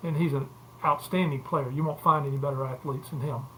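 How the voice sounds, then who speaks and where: With an Alabama accent, a man speaks at a very fast pace and with fairly even intonation. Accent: Southern US (Alabama). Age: 70s. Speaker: former college football player and sports agent. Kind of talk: casual interview. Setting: podcast.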